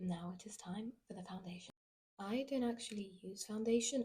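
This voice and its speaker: Somewhat breathy and dark, mellow in tone, a woman's voice at medium pitch moves at a fairly quick pace. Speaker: musical theatre student vlogger. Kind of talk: casual vlog, get ready with me. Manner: chatty, animated.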